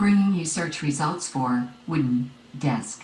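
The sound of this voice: A put-on character voice sounds robotic at a middle pitch. The pace is fairly slow.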